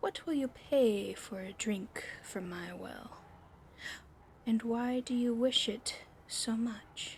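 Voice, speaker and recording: Using a put-on character voice, a woman speaks at a fairly high pitch and a very slow pace with long, frequent pauses. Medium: read story. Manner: gruff, guarded.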